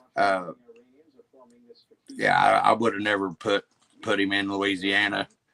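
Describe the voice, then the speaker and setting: Someone with an American accent speaks at a fairly slow pace with long, frequent pauses, flat monotone intonation and very even loudness, on a dry, close recording with no echo. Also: man, fairly low pitch for a man. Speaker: car-repair livestreamer. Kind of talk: casual chat. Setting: livestream.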